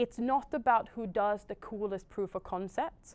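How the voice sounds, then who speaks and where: Speaking with a Swedish accent, a woman uses a fairly high pitch and ordinary pitch variation. The recording is very clean, with a silent background. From Sweden. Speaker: technology industry panelist. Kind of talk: panel discussion. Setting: in-person event with audience.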